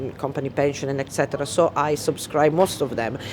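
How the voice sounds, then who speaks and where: Speech races at a very fast pace while noticeable background noise sits behind it. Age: 60s. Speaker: wealth management worker. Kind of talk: interview testimony. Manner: halting.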